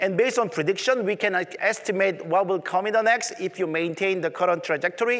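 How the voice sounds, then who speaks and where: Against noticeable background noise, a high-pitched man talks at a fairly quick pace with ordinary pitch variation. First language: Korean. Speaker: tech conference presenter. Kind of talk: conference presentation.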